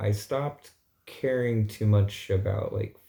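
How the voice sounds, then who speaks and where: In a very clean recording with a silent background, a man with a fairly low, somewhat breathy voice and a dark, mellow tone speaks at a fairly slow pace. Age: 30s. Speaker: vlogger. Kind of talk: casual vlog monologue.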